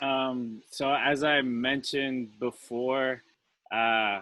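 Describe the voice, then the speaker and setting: A man with a strong Colombian accent and a monotone, flat intonation. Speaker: returned Peace Corps volunteer, panelist. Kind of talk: panel discussion.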